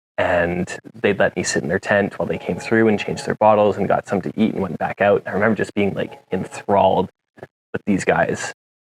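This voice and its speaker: In a western Canadian accent, a man with a fairly low pitch talks at a fairly quick pace with fairly even intonation, the sound dry and close with no echo. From Canada, Jasper, Alberta. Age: 20s. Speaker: mountain bike racer. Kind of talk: interview. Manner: hesitant, many fillers.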